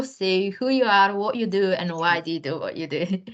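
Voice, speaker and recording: The speaker here is a woman with a non-native accent. She keeps a moderate pace. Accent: foreign. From Bulgaria. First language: Bulgarian. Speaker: career coach. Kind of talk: panel discussion.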